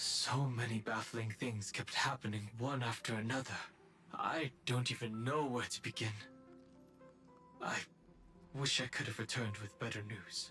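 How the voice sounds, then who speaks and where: A man's put-on character voice at medium pitch, with long, frequent pauses and clear music in the background. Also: moderate pace. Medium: video game. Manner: composed, serious.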